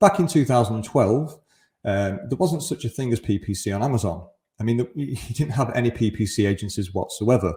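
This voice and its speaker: A man's somewhat breathy, medium-pitched voice with a dark, mellow tone, lively intonation and a moderate pace. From Greater Manchester, northern England. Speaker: conference speaker, e-commerce agency founder. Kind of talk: conference presentation. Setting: remote presentation to live event.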